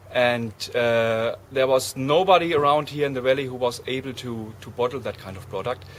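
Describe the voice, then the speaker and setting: Against noticeable background noise, a man talks at medium pitch with ordinary pitch variation, big swings in loudness and hardly any pauses. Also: moderate pace. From Germany. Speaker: winemaker. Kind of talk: interview. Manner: halting.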